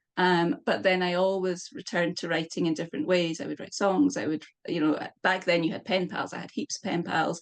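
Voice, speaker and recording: A woman speaks with a Scottish accent. Her pitch is fairly low. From Scotland. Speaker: poet. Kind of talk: interview. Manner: halting.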